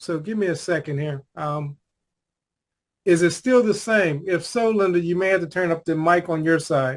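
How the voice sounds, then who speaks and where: Loud and high-pitched, a man speaks at a moderate pace with ordinary pitch variation. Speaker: life coach and conversation host. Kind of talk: casual video call chat.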